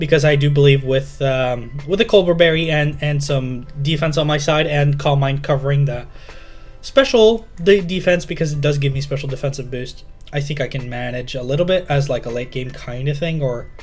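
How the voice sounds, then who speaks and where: A man with a non-native accent talks at a moderate pace, his pitch fairly high with ordinary variation. Music plays in the background, and the room echo is audible. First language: not English. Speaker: Pokémon video creator, draft league coach. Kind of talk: gaming commentary. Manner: halting, many fillers and restarts.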